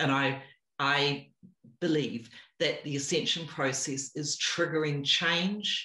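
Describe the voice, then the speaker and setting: A woman's very deep, low voice in a New Zealand accent, at a fairly slow pace. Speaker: spiritual teacher. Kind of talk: interview.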